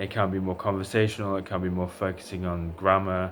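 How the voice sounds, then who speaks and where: Speaking with an English Midlands accent, a man has a very deep, low voice. His pace is moderate. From England, Derbyshire. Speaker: language tutor. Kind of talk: self-introduction video. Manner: hesitant, many fillers.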